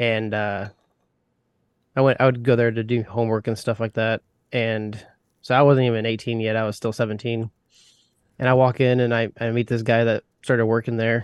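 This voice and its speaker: Over a quiet background, a man with an American accent speaks at a medium pitch and moderate pace in a monotone, flat intonation with long, frequent pauses, the sound dry and close with no echo. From US Midwest. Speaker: pipe smoker and YouTuber. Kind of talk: interview.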